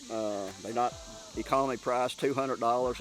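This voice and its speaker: With music in the background, a man talks at a medium pitch and a moderate pace. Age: 60s. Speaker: deer hunter. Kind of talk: casual chat. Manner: halting.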